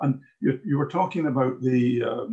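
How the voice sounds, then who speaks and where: A man's somewhat breathy, fairly high voice in a Glaswegian accent, with lively intonation at a fairly slow pace. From Glasgow, Scotland. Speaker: audience member asking questions. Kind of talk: audience question in a discussion.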